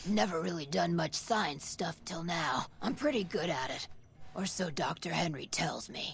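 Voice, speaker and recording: Put-on character voice at a middle pitch over clear background noise. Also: moderate pace. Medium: video game. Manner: casual, friendly.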